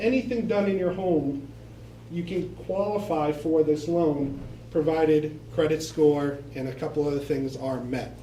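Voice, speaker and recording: Audible room echo surrounds a man with an American accent and a fairly high pitch. He talks at a fairly slow pace with lively intonation. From Boston, Massachusetts. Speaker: bank loan representative. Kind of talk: presentation to local residents.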